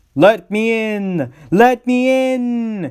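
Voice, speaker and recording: A high-pitched put-on character voice from a man. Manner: spooky, pleading.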